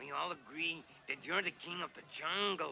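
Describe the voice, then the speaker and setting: Over clear background noise, a man does a raspy, cartoonish character voice with big swings in loudness. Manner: blunt, matter-of-fact.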